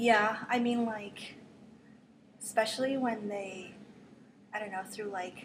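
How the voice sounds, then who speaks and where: Audible room echo surrounds a woman speaking at a very slow pace in a medium pitch with fairly even intonation. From Philippines until age 9, then Las Vegas. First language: Tagalog. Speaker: university student. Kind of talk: casual interview.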